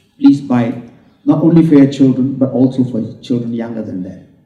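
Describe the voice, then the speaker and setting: Somewhat breathy, fairly high male voice of a dark, mellow tone, with audible room echo. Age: 70s. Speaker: book launch speaker. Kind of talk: speech at book launch.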